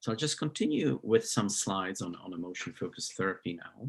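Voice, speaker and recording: The man's intonation is lively. He talks at a moderate speed. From Slovakia. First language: Slovak. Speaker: psychology professor. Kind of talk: lecture. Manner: halting, many fillers.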